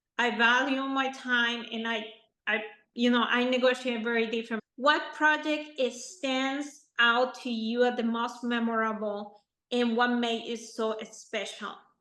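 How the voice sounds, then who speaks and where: The tone is bright and sharp, the intonation monotone and flat. The pace is fairly slow, with audible room echo. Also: woman, high pitch for a woman. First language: not English. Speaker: podcast host, architect. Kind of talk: interview.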